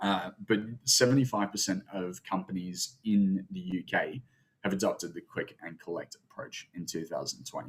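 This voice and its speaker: The speaker has an Australian accent. The loudness shows big swings. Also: man, fairly low pitch for a man, ordinary pitch variation, moderate pace. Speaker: webinar presenter. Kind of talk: webinar presentation. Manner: halting, many filler sounds.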